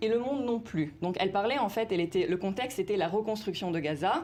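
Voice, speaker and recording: A woman speaks fairly quickly, her intonation lively and varied. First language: Italian (speaking French). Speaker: university researcher in discourse analysis. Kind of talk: TV news interview. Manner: hesitant, many fillers.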